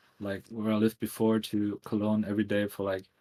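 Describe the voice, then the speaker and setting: A man's dark, mellow voice, fairly low in pitch, with flat, monotone intonation. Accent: German. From Germany, near Düsseldorf. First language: German. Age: 30s. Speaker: tattoo artist and graphic designer. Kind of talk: casual podcast interview.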